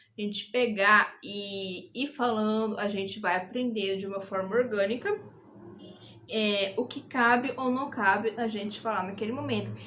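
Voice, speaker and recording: Speaking at a fairly slow pace in an interior São Paulo accent, a woman has a fairly high pitch and a bright, sharp tone. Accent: Brazilian caipira. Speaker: YouTuber. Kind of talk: casual advice vlog. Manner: animated, gesturing.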